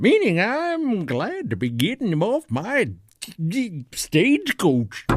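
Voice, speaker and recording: A man's put-on character voice, high in pitch and at a fairly slow pace. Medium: audio drama. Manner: folksy, stammering.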